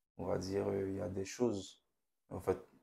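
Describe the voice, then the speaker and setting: This man's voice is very deep and low, somewhat breathy. His tone is dark and mellow. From Haiti. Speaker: young churchgoer. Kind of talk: testimony. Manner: calm and reserved. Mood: reflective, personal testimony. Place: studio. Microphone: lapel.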